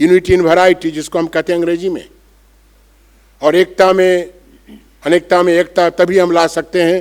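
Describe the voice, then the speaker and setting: High-pitched male speech. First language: Bengali (speaking Hindi). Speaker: monk and spiritual speaker. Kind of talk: conference speech. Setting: auditorium with audience.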